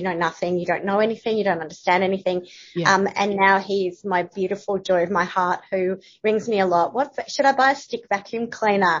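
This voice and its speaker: A woman with an Australian accent talks at a fairly quick pace. Her medium-pitched voice keeps fairly even intonation. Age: 50s. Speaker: journalist and content writer. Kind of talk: casual interview chat.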